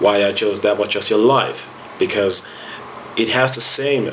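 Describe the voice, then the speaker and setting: With a Finnish accent, a man speaks at a moderate pace amid noticeable background noise and audible room echo. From Finland. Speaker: music instructor. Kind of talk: tutorial.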